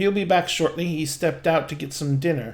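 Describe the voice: A man puts on a squeaky character voice, fairly high in pitch and fairly quick in pace.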